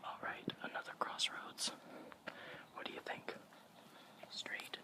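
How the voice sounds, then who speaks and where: Whispered words come out at a very slow pace. Background noise is noticeable throughout. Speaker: college student. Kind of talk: casual ASMR ramble. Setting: outdoors.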